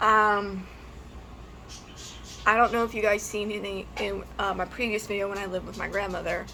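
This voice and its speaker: A woman at a medium pitch with monotone, flat intonation, a moderate pace and long, frequent pauses, over music in the background. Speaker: YouTuber. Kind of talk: personal testimony vlog. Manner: halting, hesitant.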